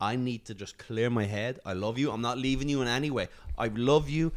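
On a very clean recording with a silent background, a man speaks with an Irish accent and ordinary pitch variation. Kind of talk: casual chat.

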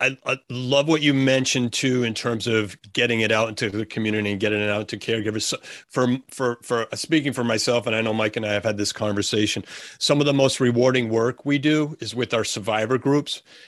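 Fairly quick and fairly even in intonation, a normal speaking voice comes through with a dry, close sound and no echo. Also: man, quiet background. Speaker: podcast co-host. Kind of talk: casual podcast conversation.

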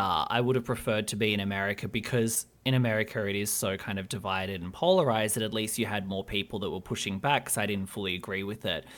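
Speaking at a fairly quick pace with hardly any pauses, a man with an Australian accent shows ordinary pitch variation. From Australia (Albury, New South Wales). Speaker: podcast host and journalist. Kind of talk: casual interview chat.

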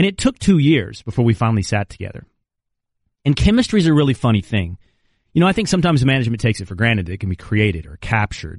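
A man at medium pitch, very fast and somewhat breathy, with very wide pitch swings, a dry, close sound with no echo, and a quiet background. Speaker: sports radio co-host. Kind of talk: casual chat. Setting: studio.

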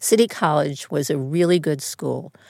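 A woman in a New York accent speaks at a moderate pace. Her pitch is very deep and low, with ordinary variation. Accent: Bronx New York. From New York, the Bronx. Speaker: casting director. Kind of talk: interview conversation. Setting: studio.

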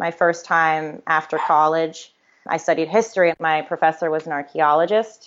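This is a woman with a plain, everyday voice and an American accent. Her pitch is fairly low and her pace moderate. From Connecticut, US. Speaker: podcast guest sharing life story. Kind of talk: interview, personal testimony.

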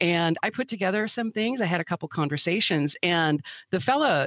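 Lively intonation comes through in an Upper Midwest accent. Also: woman. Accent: Upper Midwest American. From Milwaukee, Wisconsin. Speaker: author and food scientist. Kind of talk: interview conversation.

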